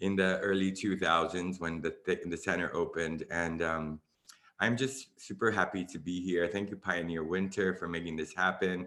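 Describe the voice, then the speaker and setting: On a very clean recording with a silent background, a man with a very deep, low pitch and a bright, sharp tone speaks at a moderate pace with fairly even intonation. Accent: American. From Miami, Florida, US. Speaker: dance artist, choreographer. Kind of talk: panel discussion introduction.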